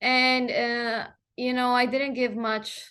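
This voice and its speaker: The background is quiet. The speaker has a Spanish accent. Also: woman. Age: 20s. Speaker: journalist. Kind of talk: interview conversation. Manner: halting, many fillers.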